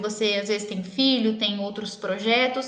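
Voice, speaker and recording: Audible room echo and noticeable background noise surround a woman speaking. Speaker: dentist. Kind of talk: live-stream health talk with viewer Q&A. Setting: online live stream. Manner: fast.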